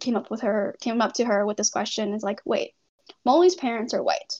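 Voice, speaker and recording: This is an unremarkable speaking voice with a Canadian accent. Its pitch varies in an ordinary way. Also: woman. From Canada, Toronto area. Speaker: medical student. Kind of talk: casual interview.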